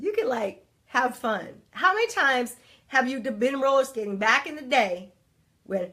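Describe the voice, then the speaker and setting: A woman speaks in a raised, projected voice at a high pitch, with very wide pitch swings. Her tone is animated, bright and sharp. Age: 40s. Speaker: life coach and livestream host. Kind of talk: live motivational talk. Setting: livestream.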